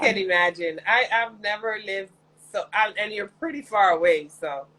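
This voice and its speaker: This woman has an unremarkable speaking voice and a moderate pace. Her intonation is lively. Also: medium pitch for a woman. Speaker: talk show host. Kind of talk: interview questions.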